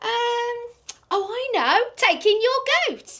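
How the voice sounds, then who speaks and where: A woman performs a put-on character voice that is squeaky and extremely high in pitch. She speaks at a very slow pace with ordinary pitch variation. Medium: read story. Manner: hesitant, musing.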